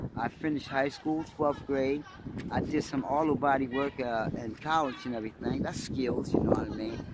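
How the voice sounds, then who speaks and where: A man with an American accent speaks at a moderate pace in a fairly high pitch, his intonation fairly even, over noticeable background noise. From Trenton, New Jersey. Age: 60s. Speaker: homeless man. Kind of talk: interview.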